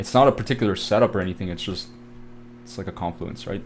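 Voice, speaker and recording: A man talks at a very fast pace with lively intonation, a fairly low pitch and vocal fry. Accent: Canadian. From Canada. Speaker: trading educator. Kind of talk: live trading tutorial. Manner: casual, filler-heavy.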